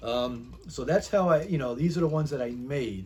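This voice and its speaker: A man with an American accent talks at a moderate pace and fairly high pitch. His voice is somewhat breathy, with lively intonation. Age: 60s. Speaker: YouTuber, hobbyist. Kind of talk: casual show-and-tell tutorial. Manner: halting, filler-heavy.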